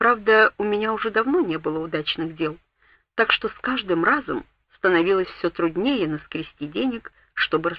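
The speaker is reading aloud in a natural voice with lively intonation. The background is quiet.

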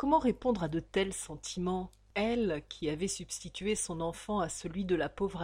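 Reading in a natural reading voice, the speaker shows ordinary pitch variation.

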